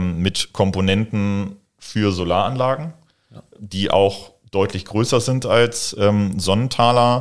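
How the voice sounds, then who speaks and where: This man's voice sits fairly low in pitch. His intonation stays fairly even. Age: 20s. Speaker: entrepreneur in renewable energy. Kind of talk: interview. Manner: hesitant, many fillers.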